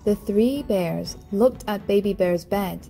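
An unforced reading voice delivers the lines, with the pitch varying in an ordinary way.

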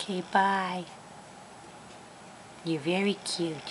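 Over clear background noise, a female-sounding voice performs a cartoonish character at a medium pitch. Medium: puppet.

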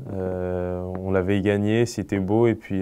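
Light background noise underlies a man's very deep, low voice. His tone is dark and mellow, his intonation monotone and flat. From Paris region, France; France. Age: 20s. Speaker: professional footballer. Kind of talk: interview. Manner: halting. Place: studio.

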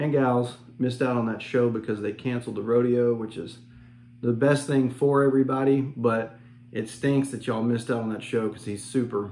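A man at a fairly quick pace, his intonation monotone and flat. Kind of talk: casual vlog chat. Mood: relaxed, friendly. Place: home room. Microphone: phone near.

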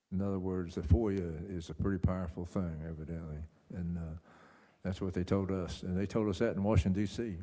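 A man speaks at a fairly quick pace in a very deep, low voice with a dark, mellow tone and fairly even intonation, and audible room echo surrounds him. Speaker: council chairman. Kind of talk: council meeting chairing. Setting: council meeting room with audience and microphones.

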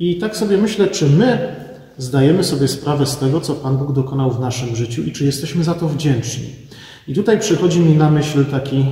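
A man speaks at an even, moderate speed while the room's echo can be heard around him. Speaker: pastor. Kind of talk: sermon. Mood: calm, reflective. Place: church. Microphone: phone near.

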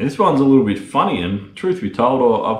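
There is audible room echo as a man with an Australian accent speaks at a moderate pace, his voice somewhat breathy. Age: 30s. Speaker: lawn care business owner and YouTuber; YouTuber. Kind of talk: casual Q&A video monologue. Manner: casual, filler-heavy. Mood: relaxed, candid. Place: garage. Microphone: phone near.

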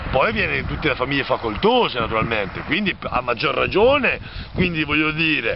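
Noticeable background noise behind a man speaking at a fairly quick pace, dry with no echo. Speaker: vlogger. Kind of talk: sarcastic political commentary. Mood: ironic, mocking. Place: open country. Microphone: phone near.

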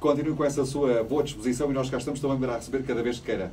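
A man speaks very fast with light noise in the background. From Portugal, Évora (Alentejo); Portugal. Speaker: radio host. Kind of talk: radio interview with call-ins. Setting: radio studio. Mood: friendly, upbeat. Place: studio. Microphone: studio mic.

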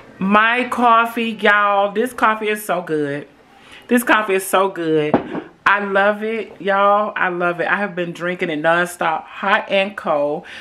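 With light background noise behind it, the voice moves at a fairly slow pace and shows ordinary pitch variation. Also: woman. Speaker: vlogger. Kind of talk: casual vlog chat. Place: kitchen. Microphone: phone near.

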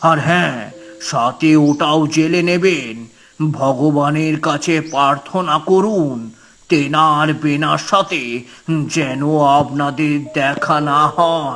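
A man does a cartoonish character voice at a fairly high pitch with fairly even intonation. He speaks at a very slow pace over faint background music. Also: very even loudness. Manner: grave, hesitant.

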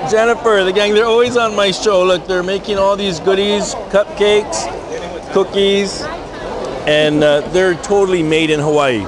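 Crowd noise sits in the background of this dry recording with no echo. A man with a high voice talks at a moderate pace and ordinary pitch variation. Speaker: tv show host. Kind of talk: casual vlog chat. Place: hall. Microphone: phone near.

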